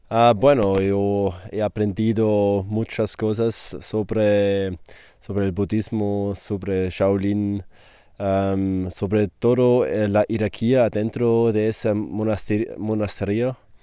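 A man's very slow, monotone, flat voice, fairly low in pitch and dark and mellow in tone, with a non-native accent and a dry sound with no echo. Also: quiet background. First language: not Spanish (speaking Spanish). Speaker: fellow retreat participant. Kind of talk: interview. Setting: Shaolin monastery. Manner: halting. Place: garden.

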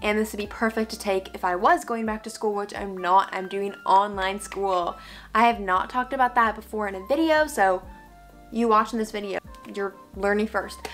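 Over faint music in the background, a woman speaks at a fairly quick pace with ordinary pitch variation. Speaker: vlogger. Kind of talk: casual vlog chat. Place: home room.

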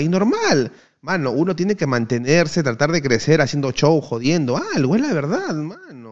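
Very wide pitch swings run through a man's fairly quick delivery. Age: 20s. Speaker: streamer, former pro gamer. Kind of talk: casual chat. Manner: animated.

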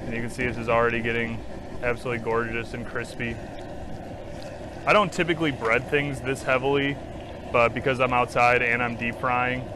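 Noticeable background noise surrounds a man speaking at a fairly quick pace with fairly even intonation, the sound dry with no echo. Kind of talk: tutorial. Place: garden.

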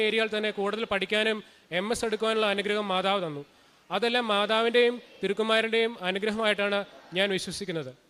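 A man speaks in a high voice with a bright, sharp tone. His intonation stays fairly even. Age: 20s. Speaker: software engineer. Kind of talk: religious testimony.

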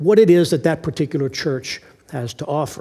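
A man at a moderate pace. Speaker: pastor. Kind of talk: sermon. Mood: warm, lightly humorous. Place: church. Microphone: headset.

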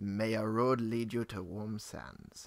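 A man speaks in a put-on character voice at a medium pitch. His pace is fairly slow.

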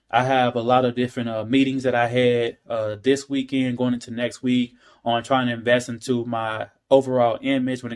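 A man speaks in a monotone, flat intonation at a fairly quick pace over a quiet background. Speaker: talk show host vlogger. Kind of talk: casual vlog chat. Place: kitchen. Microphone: phone near.

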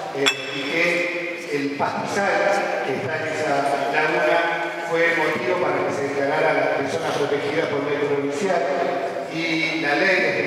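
Fairly slow, fairly even speech from a man, with strong room echo and noticeable background noise. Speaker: council member. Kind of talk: council debate speech. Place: hall.

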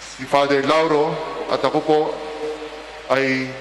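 A man's fairly high voice carries audible room echo and light background noise. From Philippines. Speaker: priest giving homily; priest. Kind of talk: homily in Filipino mixing English; sermon. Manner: conversational, reflective, with filler 'no?'. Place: church. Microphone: podium.

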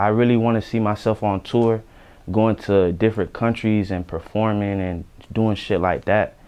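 The delivery is monotone and flat in intonation, moving at a moderate pace. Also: man, fairly low pitch for a man. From Broward County, Florida; Florida. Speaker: rapper. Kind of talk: interview. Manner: casual, slangy. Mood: relaxed, confident. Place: studio. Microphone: lapel.

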